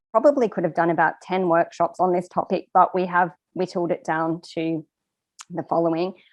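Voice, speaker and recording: A woman with an Australian accent, fairly low in pitch and moderate in pace, in a dry, close sound with no echo. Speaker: course trainer. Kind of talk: webinar presentation. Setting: online webinar.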